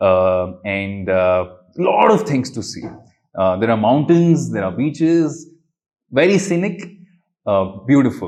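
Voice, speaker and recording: With a South Indian accent, a man of medium pitch speaks at a fairly slow pace with very wide pitch swings and long, frequent pauses, and audible room echo is present. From India, Bangalore. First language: Kannada. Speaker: magician and traveller. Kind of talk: interview. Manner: hesitant, many fillers.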